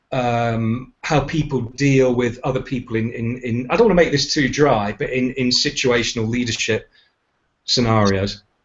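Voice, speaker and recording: With a British accent, a man speaks in a fairly even intonation. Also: medium pitch for a man, moderate pace. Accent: UK. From United Kingdom. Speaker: leadership and communications trainer. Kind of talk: casual chat. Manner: halting, many repeated words.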